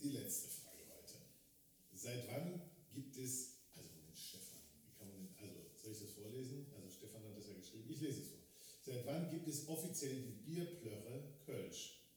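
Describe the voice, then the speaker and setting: Audible room echo surrounds a man speaking at a moderate pace and medium pitch, with lively intonation and big swings in loudness. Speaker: podcast host. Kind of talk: casual chat. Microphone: quieter after mic failure.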